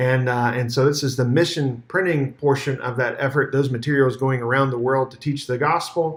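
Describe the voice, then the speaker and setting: Medium in pitch, a man's voice runs with hardly any pauses. His intonation stays fairly even. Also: very clean recording, silent background. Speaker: church minister. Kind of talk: video year-in-review narration. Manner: fast.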